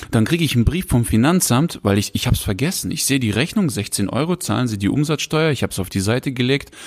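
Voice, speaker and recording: Speaking at a very fast pace, a man barely pauses at all. His medium-pitched voice has lively intonation. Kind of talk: casual chat. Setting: home recording, sitting close together. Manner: animated. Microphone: very close to the mic.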